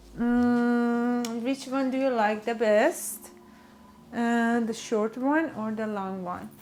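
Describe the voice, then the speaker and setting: A woman speaks in a Persian accent at a very slow pace. Her pitch is fairly high. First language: Farsi. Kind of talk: product showcase. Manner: animated.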